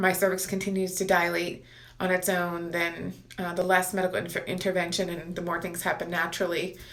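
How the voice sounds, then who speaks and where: A woman's fairly low voice with monotone, flat intonation and audible room echo. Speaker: pregnancy vlogger. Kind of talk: casual vlog update. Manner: hesitant, many fillers.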